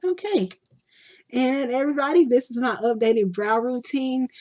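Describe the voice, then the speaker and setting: A woman with a Texan accent speaks with ordinary pitch variation. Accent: country-sounding Texan. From Texas. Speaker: beauty vlogger. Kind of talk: makeup tutorial. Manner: casual, chatty.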